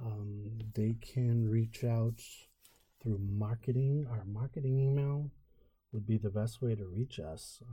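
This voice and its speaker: Very slowly, a man speaks with an American accent at medium pitch, somewhat breathy. The recording is very clean, with a silent background. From Merrimack Valley, Massachusetts. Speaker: podcast co-host. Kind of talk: casual business podcast chat.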